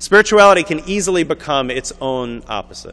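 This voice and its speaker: A man speaks with a bright, sharp tone. His pitch swings very widely. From New York. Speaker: author and spiritual teacher. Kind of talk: lecture. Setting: synagogue event with audience. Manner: fast.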